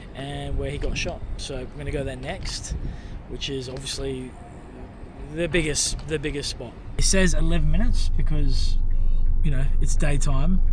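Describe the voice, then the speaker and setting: A man with an Australian accent talks at a moderate pace, leaving long, frequent pauses. The recording has audible room echo and noticeable background noise. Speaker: travel vlogger. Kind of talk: casual vlog narration.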